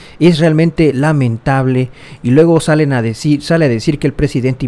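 A man is speaking. His tone is dark and mellow. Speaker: political news youtuber. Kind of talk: political commentary video.

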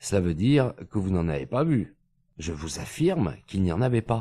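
At a moderate pace, a man with a dark, mellow tone makes very wide pitch swings in a very clean recording with a silent background and a dry, close sound with no echo. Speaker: audiobook narrator. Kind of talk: literary audiobook reading, scripted narration of a detective story.

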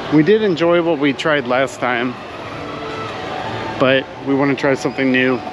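Against noticeable background noise but with a dry sound and no echo, a man speaks at a moderate pace with ordinary pitch variation. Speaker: vlogger. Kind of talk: casual vlog chat. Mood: cheerful, relaxed. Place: street. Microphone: phone near.

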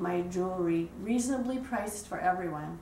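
With audible room echo and light background noise, a woman talks at a moderate pace with lively intonation. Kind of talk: interview. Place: home room. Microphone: camera far.

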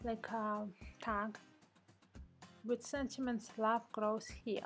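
A woman talks at a very slow pace with a non-native accent. Music plays in the background. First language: not English. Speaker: card-making hobbyist. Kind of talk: casual craft tutorial voice-over. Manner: unscripted, conversational.

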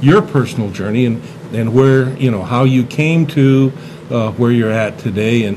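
A man talks with fairly even intonation. Noticeable background noise is present. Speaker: talk show host. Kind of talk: interview host talk. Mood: warm, jovial. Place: studio. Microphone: studio mic.

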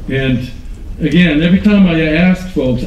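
A man at a moderate pace with lively intonation and audible room echo. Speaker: conference speaker on online community; conference speaker. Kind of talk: conference talk. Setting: stage with audience. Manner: enthusiastic. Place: hall. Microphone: podium.

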